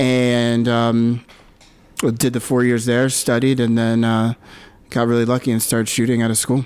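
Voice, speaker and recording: A man with an American accent speaks at a moderate pace in a medium pitch, his loudness very even and his intonation monotone and flat. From US, Philadelphia. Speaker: photographer. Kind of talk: casual interview.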